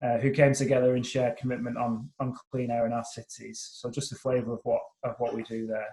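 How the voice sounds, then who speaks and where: Speaking at a fairly quick pace, a man uses a monotone, flat intonation with a dark, mellow tone, a somewhat breathy quality and medium pitch. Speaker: climate policy consultant. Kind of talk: webinar presentation. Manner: hesitant, many fillers and restarts.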